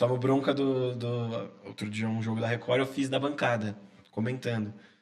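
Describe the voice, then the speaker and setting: Monotone, flat intonation at a moderate pace. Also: man, medium pitch for a man. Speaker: sports journalist. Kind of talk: casual interview chat. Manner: quiet-spoken at times.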